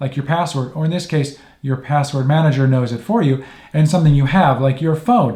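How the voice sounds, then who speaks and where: A man's fairly high-pitched, somewhat breathy voice with a dark, mellow tone, at a fairly quick pace. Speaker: tech tips youtuber. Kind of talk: tutorial. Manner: fast; casual, with fillers.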